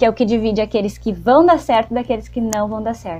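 A woman with a fairly high pitch speaks in a somewhat breathy voice with a dark, mellow tone. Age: 20s. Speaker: podcast co-host. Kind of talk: casual chat.

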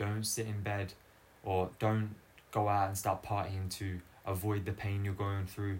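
With an Australian accent, a man speaks in a somewhat breathy, fairly low voice at a fairly slow pace, his intonation monotone and flat. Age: 20s. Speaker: footballer and podcaster. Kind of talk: solo personal monologue. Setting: filmed solo recording. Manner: unscripted, hesitant with fillers.

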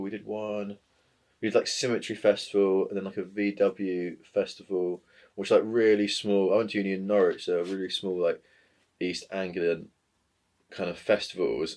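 A man talks at a moderate pace. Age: 20s. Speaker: graffiti artist. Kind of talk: casual chat. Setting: studio.

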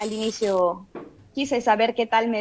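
A woman's unremarkable speaking voice at a fairly slow pace, with fairly even intonation. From Peru, Tarapoto (San Martín, Amazon region). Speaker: cyclist and swimmer. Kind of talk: radio interview. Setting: video call.

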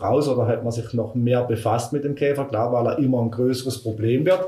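The somewhat breathy voice keeps a fairly even intonation, with audible room echo. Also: man. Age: 50s. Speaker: forestry worker. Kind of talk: interview.

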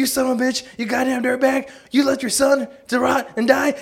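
A shouted, high-pitched put-on character voice at a moderate pace, in a monotone, flat intonation. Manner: angry, yelling.

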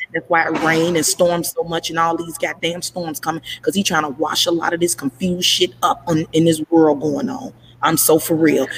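A woman's fairly low, animated voice at a moderate pace with hardly any pauses, against noticeable background noise. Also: ordinary pitch variation. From Chicago, Illinois. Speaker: podcast host. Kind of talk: casual chat. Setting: at work, live stream.

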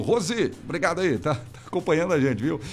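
Fairly high in pitch, a man talks at a fairly quick pace with vocal fry. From Rio Grande do Sul, Brazil. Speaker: radio host. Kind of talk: live radio call-in show. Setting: studio. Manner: animated.

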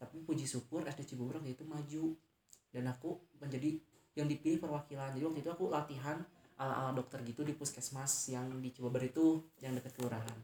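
Speaking at a very fast pace, a man with a fairly high, somewhat breathy voice and a dark, mellow tone keeps his intonation fairly even. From West Java, Indonesia (Tasikmalaya). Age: 20s. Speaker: university student. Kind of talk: interview.

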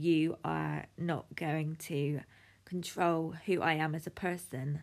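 Very slowly and in a British accent, a woman speaks with a very deep, low pitch on a very clean recording with a silent background. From United Kingdom. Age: 30s. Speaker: life coach. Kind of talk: podcast monologue.

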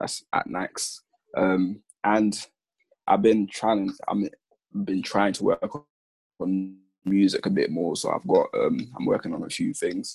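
With a London accent, a man speaks very slowly with long, frequent pauses in a dry, close sound with no echo. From south-east London. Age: 20s. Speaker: hospital admin assistant. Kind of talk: casual chat.

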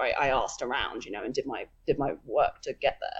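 The speaker has an English accent. The pace is moderate. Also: woman. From England. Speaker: telescope operator, astronomer. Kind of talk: casual interview. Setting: video call.

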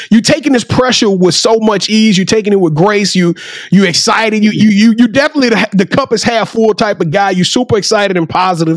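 Speaking very fast with hardly any pauses, a man with a Southern US accent uses a high, animated voice with lively intonation and very even loudness. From Louisiana. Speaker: podcast host. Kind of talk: casual chat.

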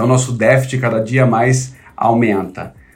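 A man speaks at a fairly slow pace with a medium pitch and fairly even intonation, and room echo is audible. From São Paulo city, Brazil (north zone). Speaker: tech company executive. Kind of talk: interview.

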